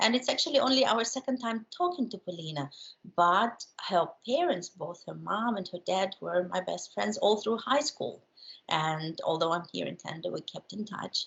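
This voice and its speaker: A woman speaks with a Ukrainian accent. Her pace is moderate. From Ukraine. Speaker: journalist and filmmaker. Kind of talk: interview. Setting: call. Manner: hesitant, many fillers.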